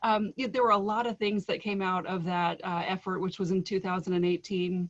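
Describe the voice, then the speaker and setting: Her intonation fairly even, a woman races along at a very fast pace. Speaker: state higher education official. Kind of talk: presentation.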